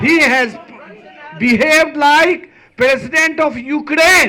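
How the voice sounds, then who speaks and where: A man with an extremely high pitch speaks in a raised, projected voice at a very slow pace, with ordinary pitch variation and audible room echo. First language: not English. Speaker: rally speaker. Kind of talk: rally speech.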